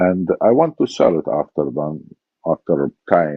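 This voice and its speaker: A man's voice with vocal fry and an Iraqi accent. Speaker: former body double, war veteran. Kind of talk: interview testimony.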